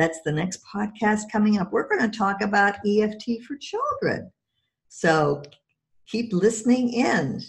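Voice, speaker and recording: A woman's normal speaking voice, fairly high-pitched, at a fairly slow pace with ordinary pitch variation. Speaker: podcast host and EFT practitioner. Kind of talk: interview.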